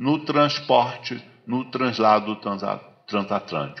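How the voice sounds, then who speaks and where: A medium-pitched man speaks fairly slowly, with ordinary pitch variation, against noticeable background noise. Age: 60s. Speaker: lecturer on African philosophy. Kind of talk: lecture. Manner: halting, many repetitions and fillers.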